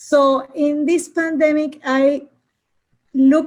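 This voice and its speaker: A woman with a Latin American accent. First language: Spanish. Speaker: customer success professional, book reviewer. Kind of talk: casual discussion, video call book club. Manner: halting.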